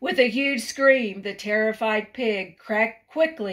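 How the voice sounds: Reading in a natural voice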